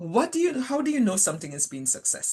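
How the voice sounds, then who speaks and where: Over a quiet background, a woman with a Caribbean accent speaks with very wide pitch swings. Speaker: panel moderator, scientist. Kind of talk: webinar panel discussion.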